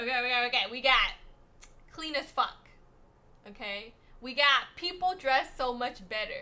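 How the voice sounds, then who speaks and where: A woman with a high, bright, sharp voice speaks in an animated tone. She projects her raised voice at a fairly slow pace. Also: ordinary pitch variation. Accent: American. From USA. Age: 50s. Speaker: streamer. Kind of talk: casual livestream chat.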